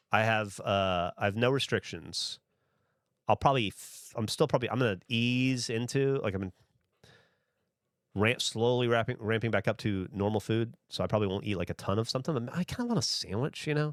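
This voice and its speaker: A man with a slight Southern US accent at a medium pitch and fairly quick pace, with ordinary pitch variation, in a very clean recording with a silent background and a dry, close sound with no echo. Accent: slight Southern twang. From US South. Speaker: streamer. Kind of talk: casual chat. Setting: livestream.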